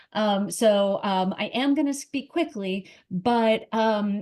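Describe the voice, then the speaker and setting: A woman's fairly high voice with a dark, mellow tone and lively intonation. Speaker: estate planning lawyer. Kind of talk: webinar presentation.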